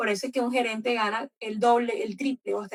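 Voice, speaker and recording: Recorded dry and close with no echo, a woman talks at a very fast pace with ordinary pitch variation. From Colombian Caribbean coast. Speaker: book club host. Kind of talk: book club discussion. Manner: animated.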